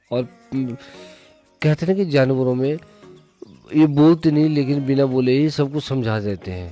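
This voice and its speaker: A man talks with a fairly high pitch and ordinary pitch variation. Music is playing in the background. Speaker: wedding photographer and vlogger. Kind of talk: casual vlog talk to camera.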